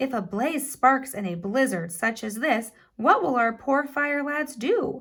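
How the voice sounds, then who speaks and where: A woman puts on a character voice, high-pitched and lively in intonation. She speaks at a fairly slow pace. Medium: read story.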